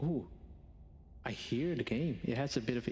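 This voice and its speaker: At a fairly slow pace, a man with a non-native accent speaks using ordinary pitch variation. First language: not English. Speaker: vtuber streamer. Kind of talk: live gaming stream chat.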